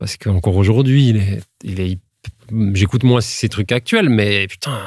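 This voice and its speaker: A man speaks at a moderate pace and a fairly low pitch, with ordinary pitch variation and a dry, close sound with no echo. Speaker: rapper. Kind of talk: interview. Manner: halting.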